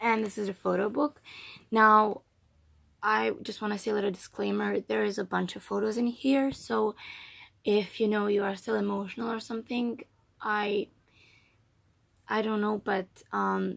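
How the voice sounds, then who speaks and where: Over a quiet background, a woman with a non-native accent talks at a moderate pace, leaving long, frequent pauses. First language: not English. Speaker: K-pop fan vlogger. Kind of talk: unboxing video. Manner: casual, hesitant with fillers. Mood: soft, somewhat emotional. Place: home room. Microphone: phone near.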